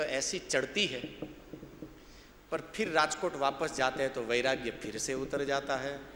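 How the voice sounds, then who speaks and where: Audible room echo and noticeable background noise surround the man's speech. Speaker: religious discourse speaker. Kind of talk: sermon.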